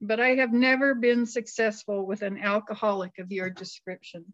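Ordinary pitch variation and a moderate speed in a normal speaking voice. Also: woman. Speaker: co-speaker at a recovery meeting. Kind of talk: personal recovery talk. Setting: online video meeting.

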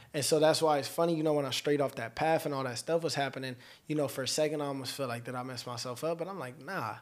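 A man talks at a very fast pace in a fairly high pitch. The recording is very clean, with a silent background. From Los Angeles, California. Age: 20s. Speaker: rapper. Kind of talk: casual chat. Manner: animated.

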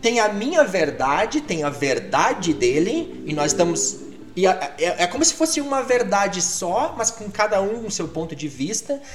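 A man with a high pitch talks at a fairly slow pace, making very wide pitch swings with hardly any pauses. Noticeable background noise can be heard. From Brazil, Rio Grande do Sul (Alegrete, near the Argentine and Uruguayan border). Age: 50s. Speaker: English teacher. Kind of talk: casual chat.

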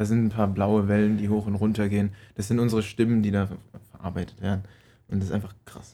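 A man of fairly low pitch rushes along at a very fast pace in a dark, mellow tone, his intonation monotone and flat. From Palatinate, Germany. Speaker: podcast co-host. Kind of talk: casual chat.

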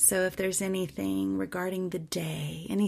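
On a very clean recording with a silent background, a woman speaks at a fairly slow pace. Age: 50s. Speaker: ministry founder. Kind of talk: devotional scripture reflection.

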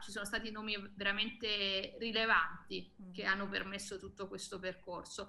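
Bright and sharp in tone, a woman speaks at a moderate pace with monotone, flat intonation. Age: 30s. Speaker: activist, association co-founder. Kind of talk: talk show interview.

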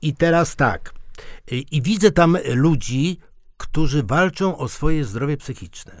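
A man talks very slowly in a fairly high voice. His pitch variation is ordinary. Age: 60s. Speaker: podcast co-host. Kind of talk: casual discussion. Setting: radio studio.

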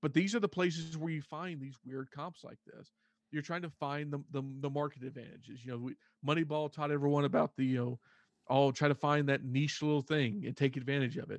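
A man with a Texan accent speaks at a fairly high pitch and fairly quick pace, with fairly even intonation and big swings in loudness. The sound is dry and close with no echo, over a quiet background. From Texas, Fort Worth area. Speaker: baseball prospect writer and sports radio host. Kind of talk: casual chat.

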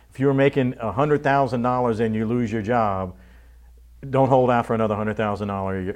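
This man speaks at a medium pitch with ordinary pitch variation and an American accent, over a quiet background. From Louisiana (Abbeville, Cajun country). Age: 50s. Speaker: TV station general manager. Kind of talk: interview. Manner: halting, repeats words.

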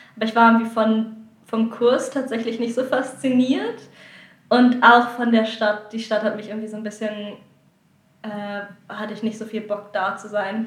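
A woman with a fairly high pitch speaks at a moderate pace in a monotone, flat way, her loudness swinging widely amid audible room echo. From northern Germany (Lower Saxony, near Hamburg/Bremen). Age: 20s. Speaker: contemporary dancer. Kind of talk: interview. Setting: recorded in Sardinia.

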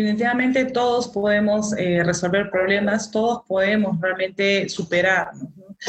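This woman has an unremarkable speaking voice at a medium pitch. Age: 40s. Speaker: molecular biologist. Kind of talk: interview.

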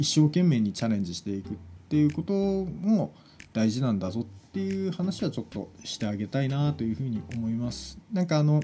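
Quick and somewhat breathy, a man speaks at medium pitch with a dark, mellow tone. His pitch swings very widely. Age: 30s. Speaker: podcast host and web director. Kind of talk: solo monologue. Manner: hesitant, many fillers.

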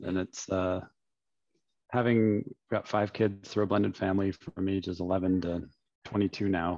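In a normal speaking voice with a Canadian accent, the speaker keeps a fairly even intonation against a quiet background. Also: man. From London, Ontario, Canada. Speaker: former pro volleyball player and CEO. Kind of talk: casual interview.

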